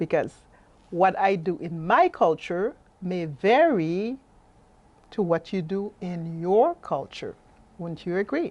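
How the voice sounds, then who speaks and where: A woman with a French accent speaks very slowly at a medium pitch, with long, frequent pauses, lively intonation and big swings in loudness against a quiet background. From Haiti. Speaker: life coach and workshop presenter. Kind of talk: presentation. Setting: webinar.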